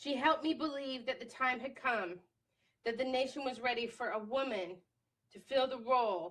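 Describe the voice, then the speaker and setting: An unremarkable speaking voice belongs to a woman. She moves at a fairly quick pace with ordinary pitch variation. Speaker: feminist writer and advocate. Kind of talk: reading of own angry writing, slam poetry. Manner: angry, intense.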